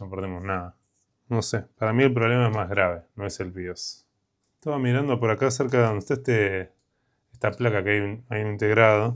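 A man with an Argentine accent, fairly even intonation, and a quiet background. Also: fairly low pitch for a man, fairly quick pace. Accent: Argentine Spanish (Rioplatense). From Argentina. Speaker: electronics repair youtuber. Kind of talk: casual repair tutorial. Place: workshop.

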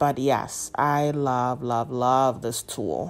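The woman's delivery is very slow. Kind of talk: tutorial. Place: kitchen.

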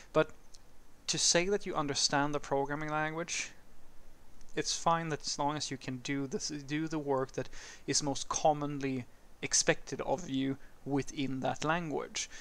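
Speaking with a Swedish accent, a man with a fairly high voice keeps a moderate pace and fairly even intonation, with long, frequent pauses. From Sweden. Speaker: programming educator / YouTuber. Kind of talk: casual educational talk answering a viewer question. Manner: conversational, with some hesitations and fillers. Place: street.

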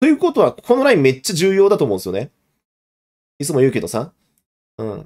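Over a quiet background, a man with a fairly high pitch talks very fast, his pitch swinging very widely. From Japan. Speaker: investment YouTuber, former securities broker; investment YouTuber. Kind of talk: live stream market analysis; casual market commentary livestream. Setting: live stream. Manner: casual, with filler words. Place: home room.

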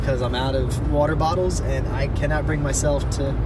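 Music plays clearly behind the voice. The man's pace is fairly quick. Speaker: vlogger. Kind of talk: casual vlog chat. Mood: relaxed, chatty. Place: car. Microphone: phone near.

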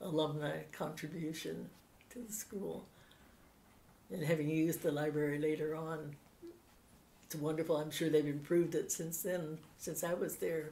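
A woman with a very deep, low pitch and a dark, mellow tone speaks at a moderate pace with lively intonation and vocal fry. Light background noise is present. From Pittsburgh, USA. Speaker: oral history interviewee, former Navy codebreaker. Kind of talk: interview answer, recalling memories. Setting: interview recording. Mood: warm, reminiscing. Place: home room.

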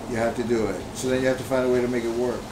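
Noticeable background noise sits behind the audio. Over it, a man talks with a medium pitch. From Long Island, New York (Puerto Rican family); New York. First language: Spanish. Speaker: multimedia artist. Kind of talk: interview. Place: home room.

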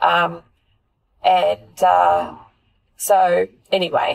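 A woman speaks with an Australian accent. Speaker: podcast host. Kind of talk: casual chat. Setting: in a car.

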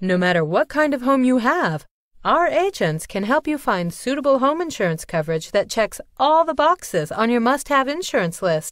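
A woman with a high pitch talks at a moderate pace, her pitch swinging very widely while her loudness stays very even. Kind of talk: commercial voice-over read, corporate narration.

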